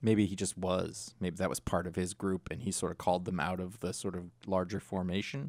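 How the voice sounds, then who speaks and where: With hardly any pauses, a man talks at a fairly quick pace in a very deep, low pitch. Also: ordinary pitch variation. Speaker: podcast co-host. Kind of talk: casual podcast discussion. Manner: fast.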